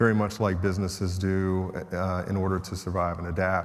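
Against a quiet background, the delivery comes at a moderate pace. Intonation stays monotone and flat. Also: man, very deep, low pitch for a man. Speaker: panelist. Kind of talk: panel introduction speech. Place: stage.

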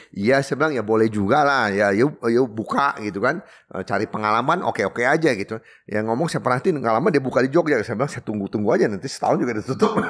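A man at a very fast pace, medium pitch and lively intonation. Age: 60s. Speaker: coffee shop owner; podcast guest. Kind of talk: casual interview. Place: studio. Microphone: studio mic.

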